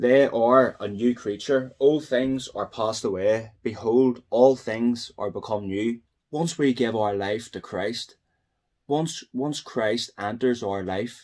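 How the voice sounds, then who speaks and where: A man talks at a very slow pace. His pitch variation is ordinary. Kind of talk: testimony and spoken prayer. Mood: earnest, prayerful. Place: home room. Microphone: phone near.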